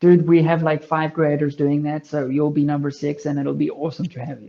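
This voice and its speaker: In a South African accent, a man with a fairly high pitch and a dark, mellow tone speaks at a fairly quick pace in a monotone, flat intonation, with big swings in loudness. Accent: Afrikaans South African English. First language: Afrikaans. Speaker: long range shooting content creator. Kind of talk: casual chat.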